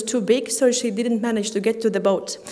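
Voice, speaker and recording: With fairly even intonation, a woman speaks at a fairly high pitch and a moderate pace. Audible room echo surrounds her voice. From Latvia, Riga. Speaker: conference speaker, graduate student. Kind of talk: conference talk. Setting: stage with audience. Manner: halting, many fillers.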